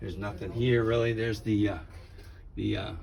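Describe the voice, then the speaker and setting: There is audible room echo as a man with a fairly low pitch and a dark, mellow tone speaks at a moderate pace. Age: 70s. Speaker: car hobbyist. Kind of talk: casual walkaround video tour. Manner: hesitant, many fillers.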